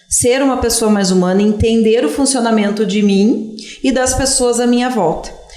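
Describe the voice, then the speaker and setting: A woman speaks at a fairly high pitch and moderate pace with ordinary pitch variation, amid audible room echo and noticeable background noise. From southern Brazil, Serra Gaúcha (Antônio Prado, Italian-descended area). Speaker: history teacher. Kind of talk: interview.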